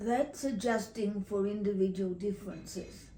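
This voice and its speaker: With an Australian accent, a woman talks at a medium pitch with fairly even intonation. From Tasmania, Australia. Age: 80s+. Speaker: retired teacher. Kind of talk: interview answer.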